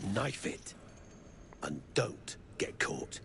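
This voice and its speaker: A man puts on a gruff character voice. Clear background noise is heard throughout. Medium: video game. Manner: crude, gruff, bossy.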